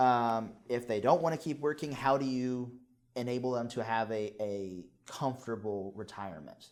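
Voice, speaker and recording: Here is a plain, everyday voice. A man talks at medium pitch and moderate pace with ordinary pitch variation. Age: young. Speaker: guest colleague. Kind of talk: conversational discussion.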